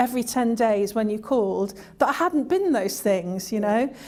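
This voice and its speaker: A woman at a fairly high pitch, with ordinary pitch variation and a moderate pace. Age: 60s. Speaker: former job seeker, service user. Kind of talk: interview testimony. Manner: halting.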